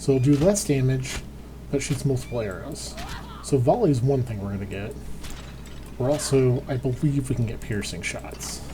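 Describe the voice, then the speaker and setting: Long, frequent pauses break up the talking. It proceeds at a moderate pace against noticeable background noise. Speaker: gaming youtuber. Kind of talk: let's play commentary. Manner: casual, thinking aloud.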